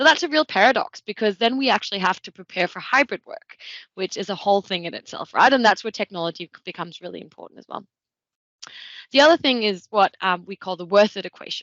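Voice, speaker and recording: A woman talks at a very fast pace with lively intonation. She has a Danish accent and a medium pitch. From Denmark. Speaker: tech consultant. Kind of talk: webinar presentation.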